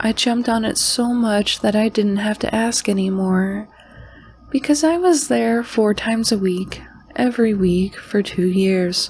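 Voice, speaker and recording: A woman with a fairly high pitch talks at a fairly slow pace, her pitch varying in an ordinary way and her loudness staying very even. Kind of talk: horror podcast narration reading listener stories. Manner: soft-spoken.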